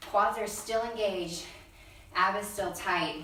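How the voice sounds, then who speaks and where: At a moderate pace and with fairly even intonation, a woman speaks amid noticeable background noise and audible room echo. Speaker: fitness instructor. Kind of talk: workout instruction. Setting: large room. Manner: loud. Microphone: far from the mic.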